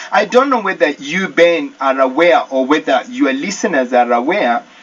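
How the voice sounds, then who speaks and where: A Kenyan accent at a moderate pace, over noticeable background noise. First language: Kikuyu. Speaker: church deacon. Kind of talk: radio interview.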